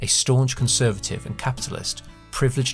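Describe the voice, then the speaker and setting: A man delivers his words at a fairly quick pace while music plays in the background. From British. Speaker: podcast host. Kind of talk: first-person story narration.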